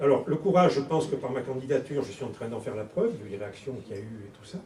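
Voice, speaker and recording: A man at a very fast pace with lively intonation, amid noticeable background noise and audible room echo. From southern France, Toulon. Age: 60s. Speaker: politician, election candidate. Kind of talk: campaign speech at public meeting. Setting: public meeting hall with audience.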